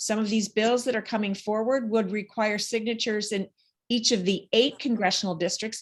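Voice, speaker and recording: A woman has a normal speaking voice with a fairly high pitch. Her intonation stays fairly even. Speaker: state senator. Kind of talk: legislative update speech.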